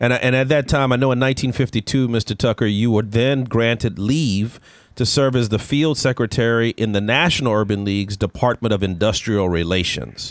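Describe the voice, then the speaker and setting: A man's unremarkable speaking voice, medium in pitch, at a moderate pace, with very even loudness and ordinary pitch variation. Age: 40s. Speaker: podcast host. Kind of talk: interview conversation.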